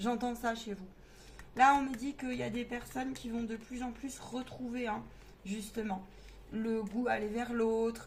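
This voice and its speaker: A woman speaks at a fairly slow pace with a fairly high pitch and monotone, flat intonation, leaving long, frequent pauses. Audible room echo and noticeable background noise fill the recording. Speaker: medium giving card readings. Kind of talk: tarot reading monologue. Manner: halting, many fillers.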